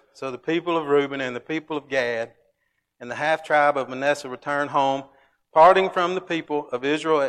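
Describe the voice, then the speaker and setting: A man with a Southern US accent, fairly high in pitch, at a moderate pace against a quiet background. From Alabama. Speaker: Bible class teacher. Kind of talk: Bible class lesson. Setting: church.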